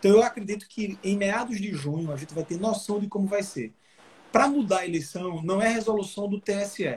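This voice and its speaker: High in pitch, a man speaks at a fairly quick pace with ordinary pitch variation. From Brazil, Alagoas (Maceió). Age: 30s. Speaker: politician, mayoral pre-candidate. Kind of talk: interview on a live stream. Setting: video call live stream.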